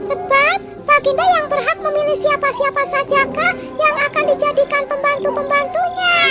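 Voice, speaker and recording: A put-on character voice with an extremely high pitch goes at a moderate pace over faint music in the background. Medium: read story. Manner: quick-witted, needling.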